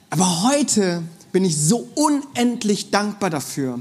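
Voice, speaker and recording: Amid noticeable background noise and audible room echo, a man speaks in an animated tone. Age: 30s. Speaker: preacher. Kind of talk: sermon.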